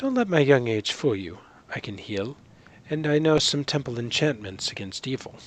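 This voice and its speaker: A man's mumbling put-on character voice at medium pitch, with lively intonation and a moderate pace. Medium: actual play. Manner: mumbling, apprehensive.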